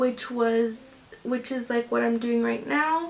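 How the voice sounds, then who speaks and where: Noticeable background noise sits behind the recording. A woman speaks at a very slow pace in a high pitch. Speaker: lifestyle vlogger and crafter. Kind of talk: casual vlog talk. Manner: hesitant, many fillers.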